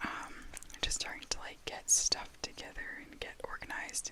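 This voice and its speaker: A woman is whispering at a moderate pace over noticeable background noise. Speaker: ASMR content creator. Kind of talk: casual talk to camera. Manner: whispered, soft-spoken.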